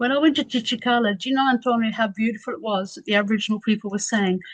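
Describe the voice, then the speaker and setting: Somewhat breathy, a woman speaks at a fairly high pitch. Her pitch varies in an ordinary way. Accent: Australian. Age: 60s. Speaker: academic researcher. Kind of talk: radio interview.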